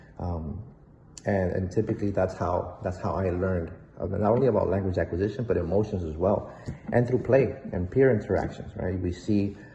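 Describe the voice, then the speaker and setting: A man with a Spanish accent and a very deep, low pitch talks at a fairly quick pace in a dark, mellow tone that is somewhat breathy. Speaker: behavior analyst. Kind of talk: presentation. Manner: hesitant, many fillers.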